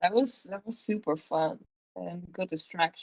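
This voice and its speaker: Speaking with a non-native accent, a woman at medium pitch keeps a moderate pace and ordinary pitch variation in a dry, close sound with no echo. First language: not English. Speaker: singer and lyricist in a band. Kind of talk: casual interview chat.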